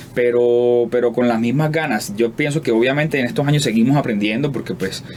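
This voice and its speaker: Over noticeable background noise, a man with a medium pitch and ordinary pitch variation speaks at a fairly quick pace. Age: 30s. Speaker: singer-songwriter. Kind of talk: interview. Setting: studio. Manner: halting.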